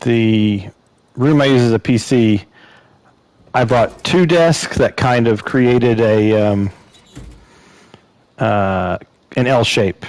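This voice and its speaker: A man speaks at a very slow pace with long, frequent pauses. His loudness stays very even. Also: medium pitch for a man, ordinary pitch variation. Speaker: video game streamer. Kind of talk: live gameplay stream chat. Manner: halting, many fillers.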